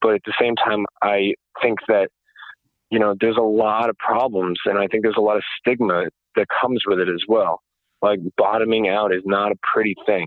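A man's fairly low, monotone voice with flat intonation, very even loudness and an American accent. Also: moderate pace. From US Northeast, New York suburbs. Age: 30s. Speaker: recovered homeless person. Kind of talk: interview. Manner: halting, many fillers.

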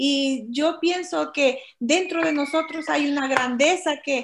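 Speaking very slowly, a woman uses a high pitch with ordinary variation. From El Salvador. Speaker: guest, immigrant woman sharing life story. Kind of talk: podcast interview. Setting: remote video call.

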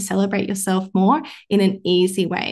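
With an Australian accent, a woman speaks at a moderate pace and medium pitch in a somewhat breathy voice against a quiet background. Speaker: mindset coach and medical doctor. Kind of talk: casual podcast chat with coaching advice.

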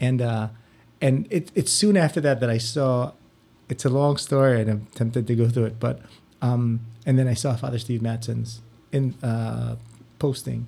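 With a dark, mellow tone and a somewhat breathy quality, a man speaks at medium pitch and a moderate pace, with ordinary pitch variation and long, frequent pauses. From Philippines. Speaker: parish religious education director. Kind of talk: interview.

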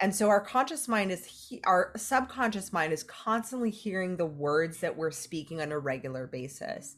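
Against a quiet background, a woman with a Californian accent talks at a moderate pace and medium pitch, with very wide pitch swings and hardly any pauses. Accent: Californian American English. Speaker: life coach and entrepreneur. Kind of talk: podcast interview.

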